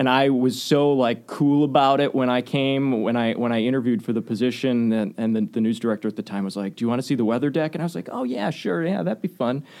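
A man with an American accent talks at a very fast pace with hardly any pauses, his medium-pitched voice showing ordinary pitch variation. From Waukesha, Wisconsin. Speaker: TV station presenter. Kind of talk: casual interview chat.

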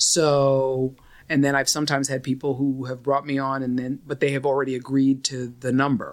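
At a moderate pace, a woman with a New York accent speaks in a very deep, low pitch with monotone, flat intonation. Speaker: entertainment lawyer. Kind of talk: casual interview chat. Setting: studio.

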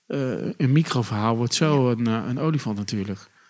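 A plain, everyday voice belongs to this man, who keeps a moderate pace at a medium pitch. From Netherlands, Rotterdam. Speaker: podcast co-host, PR agency. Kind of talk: interview. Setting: studio.

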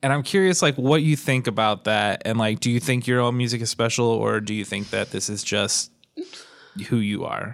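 In a very clean recording with a silent background, a man speaks at a moderate pace in an ordinary speaking voice, medium in pitch with ordinary pitch variation. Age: 30s. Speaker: podcast host. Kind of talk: interview.

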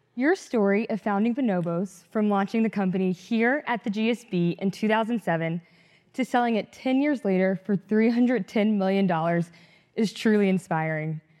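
In a dry, close sound with no echo and a quiet background, a woman with an ordinary speaking voice talks at a moderate pace and medium pitch, using ordinary pitch variation and very even loudness. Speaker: student interviewer. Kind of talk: interview, polished host.

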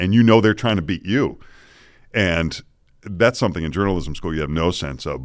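In a very clean recording with a silent background, a man with an American accent speaks in a relaxed tone with vocal fry and ordinary pitch variation. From Boston. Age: 50s. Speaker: morning news anchor. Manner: relaxed, chatty, good-humored.

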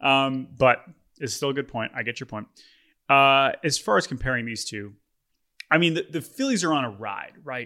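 A man's medium-pitched voice, bright and sharp in tone, at a moderate pace with long, frequent pauses and ordinary pitch variation, on a very clean recording with a silent background. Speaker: podcast host. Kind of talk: casual sports banter. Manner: joking, animated.

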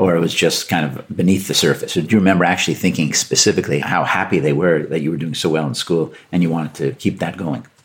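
Spoken at a very fast pace with hardly any pauses, this voice has a Canadian accent, vocal fry and ordinary pitch variation. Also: man, very deep, low pitch for a man. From Canada. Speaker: podcast host and business professor. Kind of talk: interview conversation.

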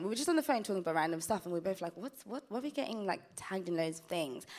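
A loud woman's voice at a medium pitch with very wide pitch swings. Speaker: reality TV contestant. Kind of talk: live podcast interview. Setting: live stage with audience. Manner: loud, energetic.

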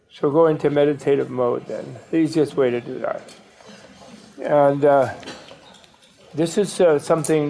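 Noticeable background noise behind a male speaker, his pitch fairly high and his intonation fairly even. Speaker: Buddhist teacher. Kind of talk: dharma talk. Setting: stage with audience.

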